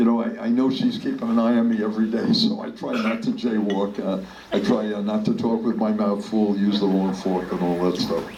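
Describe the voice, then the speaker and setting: A man talks at a fairly quick pace with hardly any pauses. Audible room echo and noticeable background noise fill the recording. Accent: American. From New York City, the Bronx. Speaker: politician. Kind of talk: storytelling talk. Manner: halting.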